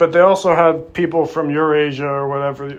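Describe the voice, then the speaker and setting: Here a man is speaking. His intonation stays monotone and flat. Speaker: YouTuber. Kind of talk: casual monologue to camera. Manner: halting, many fillers.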